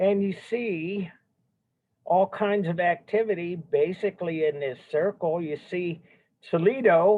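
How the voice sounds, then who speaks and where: A man speaks loudly at a very slow pace. His pitch is high. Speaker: art history teacher. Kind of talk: lecture.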